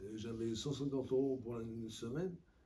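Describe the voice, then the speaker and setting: A somewhat breathy male voice with a dark, mellow tone and audible room echo. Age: 60s. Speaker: person under legal guardianship. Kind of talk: interview testimony. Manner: halting, many hesitations.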